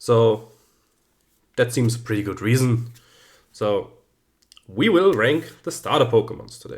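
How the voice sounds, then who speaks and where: With a German accent and a medium pitch, a man talks at a fairly slow pace, somewhat breathy, with ordinary pitch variation, big swings in loudness, and long, frequent pauses. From German-speaking Central Europe. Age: 30s. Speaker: YouTuber, teacher. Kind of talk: casual video commentary.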